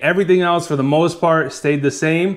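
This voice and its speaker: A man talks with fairly even intonation. The background is quiet. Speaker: kayak fishing reviewer. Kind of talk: product review talk. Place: home room.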